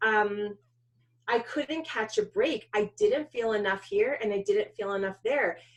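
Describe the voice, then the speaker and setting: This is a woman speaking in a New York accent. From US Northeast, New York suburbs. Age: 40s. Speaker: documentary filmmaker. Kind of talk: interview.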